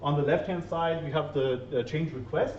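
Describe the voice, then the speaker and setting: This man's voice sits fairly high in pitch, with ordinary pitch variation. There is audible room echo. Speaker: SAP solution manager consultant. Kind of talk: conference talk. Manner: fast.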